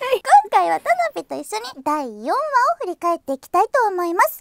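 Extremely high in pitch, a woman is speaking. Her voice makes very wide pitch swings. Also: moderate pace, dry, close sound with no echo. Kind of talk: scripted show hosting. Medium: game stream. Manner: bright, friendly.

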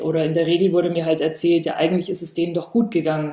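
Against a quiet background with audible room echo, a woman talks in a dark, mellow tone at a fairly low pitch with monotone, flat intonation. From rural Bavaria. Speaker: artist; artist on a panel. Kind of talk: panel discussion. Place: home room.

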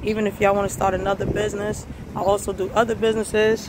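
There is a woman speaking. Background noise is noticeable. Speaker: truck driver vlogger. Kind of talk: casual vlog. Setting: in truck, on the road.

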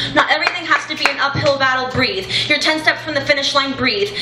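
Speaking at a fairly quick pace in a raised, projected voice, a woman keeps a fairly even intonation, with audible room echo and light background noise. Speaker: youth slam poet. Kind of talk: spoken word poetry performance. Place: cafe.

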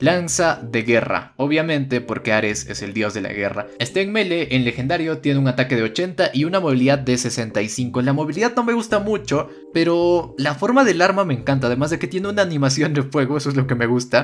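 Hardly pausing, a man talks at a fairly quick pace with lively intonation. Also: fairly high pitch for a man. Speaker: gaming YouTuber. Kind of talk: game review tutorial. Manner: animated.

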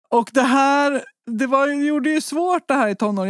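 A woman speaks with lively intonation. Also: very clean recording, silent background. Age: 40s. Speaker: researcher and patient advocate. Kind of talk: interview.

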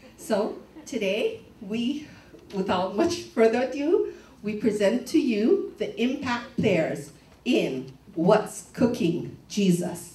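Speech comes at a very slow pace, with audible room echo in the space. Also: woman. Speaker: church event host. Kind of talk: announcement to congregation. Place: church.

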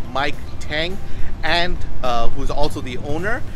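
A man with clear music in the background. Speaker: local politician hosting a food show. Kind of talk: presenter intro to camera. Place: street.

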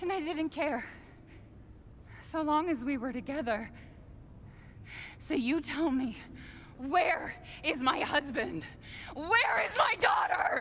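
A put-on character voice with a fairly bright tone, lively intonation, a slow pace and long, frequent pauses. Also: woman, high pitch for a woman.

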